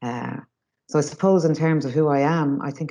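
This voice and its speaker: A woman with a north Dublin accent speaks in a dark, mellow tone with vocal fry. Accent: flat north side Dublin. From Ireland, North Dublin (Finglas). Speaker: mindset trainer and former youth worker. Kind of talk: webinar talk. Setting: online webinar. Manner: fast when excited.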